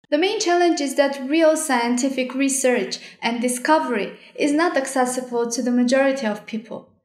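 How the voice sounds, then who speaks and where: A woman speaks at a high pitch and a moderate pace, with ordinary pitch variation and hardly any pauses. The background is quiet, though room echo is audible. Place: home room.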